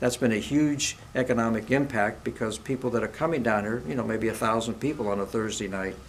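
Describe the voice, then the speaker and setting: Noticeable background noise sits behind a man speaking fairly quickly with hardly any pauses. His pitch is medium, with ordinary variation. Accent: American. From Ohio, US Midwest. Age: 70s. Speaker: mayoral candidate, retired business owner. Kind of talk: interview. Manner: halting, with fillers and restarts.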